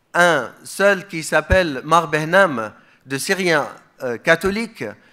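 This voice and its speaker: This voice has a bright, sharp tone and moves at a very slow pace. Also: man. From Iraq, Mosul. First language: Aramaic (speaking French). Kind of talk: conference speech.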